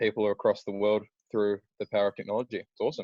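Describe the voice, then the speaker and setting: A man's dark, mellow voice, very fast, in a dry, close sound with no echo. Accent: New Zealand. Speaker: band member. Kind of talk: casual chat.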